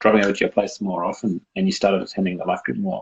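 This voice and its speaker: Fairly quick delivery in an Australian accent. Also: man. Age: 20s. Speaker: university student and childcare worker. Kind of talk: casual interview chat.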